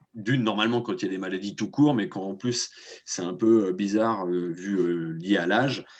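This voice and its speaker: Pitched fairly low, a man talks at a moderate pace, his pitch varying in an ordinary way. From France, Nantes. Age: 30s. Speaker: association vice-president, former farm worker. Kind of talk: testimony. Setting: video call webinar. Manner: halting, many hesitations.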